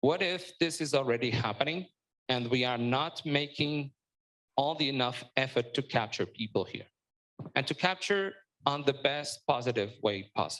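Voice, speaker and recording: A man in a Portuguese accent, fairly high-pitched and fairly slow, with lively intonation and long, frequent pauses. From Portugal. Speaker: startup panelist. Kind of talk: panel discussion.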